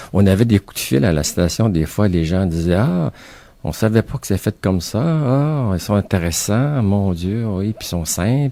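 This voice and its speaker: Speaking at a fairly slow pace, a man with a fairly low pitch and a dark, mellow tone uses lively intonation on a very clean recording over a silent background. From Quebec City. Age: 60s. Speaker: author and retired art teacher. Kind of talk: radio interview.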